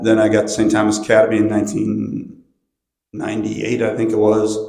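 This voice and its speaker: A man's fairly low voice in audible room echo. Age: 60s. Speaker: swim and football coach. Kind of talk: panel discussion. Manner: casual.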